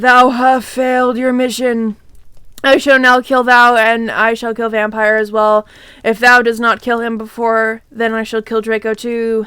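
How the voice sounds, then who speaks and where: A woman's raspy, put-on character voice, fairly high-pitched and monotone, flat in intonation, at a moderate pace. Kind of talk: archaic, formal. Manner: evil.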